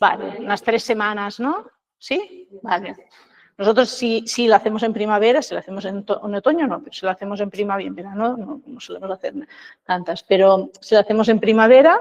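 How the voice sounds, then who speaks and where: The woman's voice is fairly high in pitch, and she keeps a moderate pace. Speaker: seed production trainer. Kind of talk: workshop lecture. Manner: halting with repetitions.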